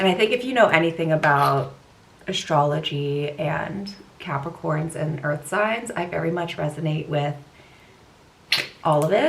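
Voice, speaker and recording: An American accent at a moderate pace, with ordinary pitch variation and audible room echo. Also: woman. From US West Coast, California Bay Area. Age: 20s. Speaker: lifestyle vlogger. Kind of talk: casual chat with makeup tutorial. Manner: chatty, casual.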